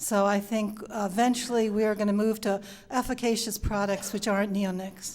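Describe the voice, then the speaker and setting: In a very clean recording with a silent background, a woman speaks with a New York accent. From Long Island, New York. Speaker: panel speaker on pollinators. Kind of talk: panel answer to audience question.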